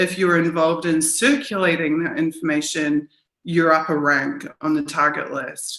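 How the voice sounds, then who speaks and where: Speaking with a New Zealand accent, the voice moves at a moderate pace with fairly even intonation. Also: woman, fairly low pitch for a woman. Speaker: journalist and activist. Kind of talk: interview.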